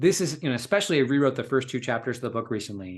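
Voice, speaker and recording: The background stays quiet. Pitch variation in the man's speech is ordinary. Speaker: coach and writer. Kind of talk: casual chat. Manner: fast.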